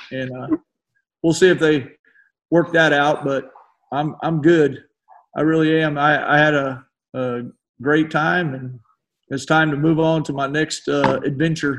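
A man with a Texan accent speaks at a fairly slow pace in a fairly high pitch, his intonation monotone and flat, with long, frequent pauses. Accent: Texan American. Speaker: retired high school basketball coach. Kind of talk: casual interview chat.

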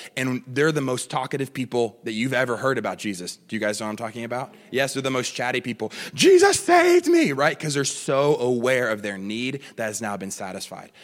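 Against music in the background, a man with an animated tone talks at a fairly quick pace and medium pitch, using ordinary pitch variation and hardly any pauses. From California, US. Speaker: guest preacher. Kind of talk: sermon. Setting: church with congregation. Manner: repetitive stammering.

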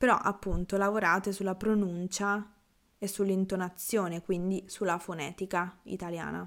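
This woman talks in a relaxed tone at medium pitch, her intonation flat and monotone. She keeps a moderate pace on a very clean recording with a silent background. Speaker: Italian language teacher podcaster. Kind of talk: casual Q&A monologue.

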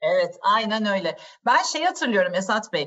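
Fairly high in pitch, a woman speaks. Her pace is moderate. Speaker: podcast host and wine educator. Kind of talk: interview, informative conversation. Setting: video call.

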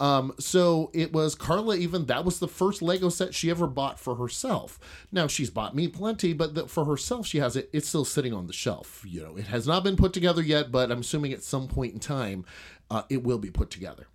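Heard in a very clean recording over a silent background, a man with fairly high pitch and vocal fry talks at a fairly quick pace, his pitch swinging very widely. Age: 40s. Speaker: podcast host and adult film performer. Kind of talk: casual solo monologue. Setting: home office, recorded during a livestream. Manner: rambling with many fillers.

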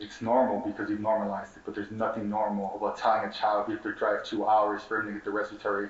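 Over noticeable background noise, a man with an American accent talks very fast at a fairly low pitch. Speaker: community organizer. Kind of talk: rally speech, fiery and impassioned. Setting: conference stage with audience. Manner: animated.

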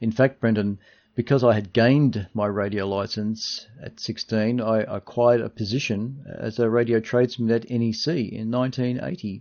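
With an Australian accent, a man talks at a moderate pace and medium pitch with hardly any pauses. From Australia, Melbourne (Dandenong). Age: 60s. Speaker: radio technician and amateur radio astronomer. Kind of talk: interview, partly read from prepared notes.

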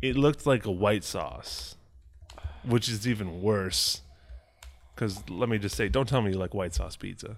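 An American-accented man with a fairly low pitch and vocal fry speaks at a moderate pace with very wide pitch swings and long, frequent pauses, on a very clean recording with a silent background. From Chicago. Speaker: podcast co-host. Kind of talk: casual chat.

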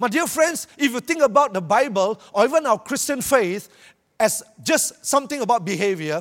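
A man with a Malaysian accent speaks at a high pitch and a moderate pace. His tone is animated, with very wide pitch swings. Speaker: preacher. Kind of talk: sermon. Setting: church with audience. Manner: animated, humorous.

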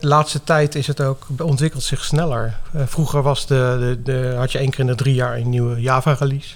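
With a slight The Hague accent, a man talks at a fairly quick pace in a monotone, flat intonation with hardly any pauses. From Netherlands, The Hague. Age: 50s. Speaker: software developer. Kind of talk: interview.

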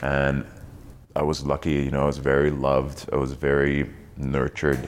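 A man speaks with a very deep, low pitch. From East Germany. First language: German. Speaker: actor. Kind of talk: casual chat. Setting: studio.

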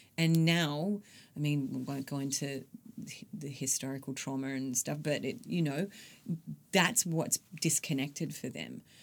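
At a fairly slow pace with long, frequent pauses, a woman speaks at a very deep, low pitch with ordinary pitch variation. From Queensland and Western Australia. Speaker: business founder. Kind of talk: interview conversation.

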